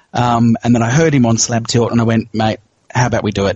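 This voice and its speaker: A man with an Australian accent speaks at medium pitch. His voice is somewhat breathy. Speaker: pinball podcast co-host. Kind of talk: casual chat.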